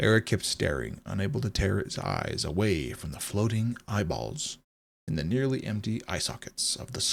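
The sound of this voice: Over a quiet background, the speaker uses an unforced reading voice with lively intonation.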